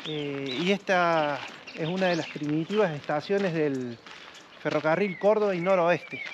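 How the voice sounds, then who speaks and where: Speaking at a fairly slow pace in an Argentine accent, a man with a high pitch and ordinary pitch variation is heard over noticeable background noise. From Argentina. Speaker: railway enthusiast; local guide or railway enthusiast. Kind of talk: casual chat. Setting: outdoors. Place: open country.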